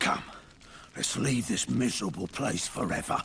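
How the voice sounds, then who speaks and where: Over clear background noise, a man does a raspy, put-on character voice at a fairly low pitch and a moderate pace. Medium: video game.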